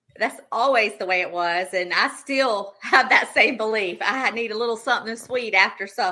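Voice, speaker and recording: A woman with a Southern US accent and a bright, sharp tone speaks at a moderate pace with ordinary pitch variation and hardly any pauses. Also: fairly high pitch for a woman. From South Carolina (Darlington). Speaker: pie business owner, baker. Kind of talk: casual interview chat.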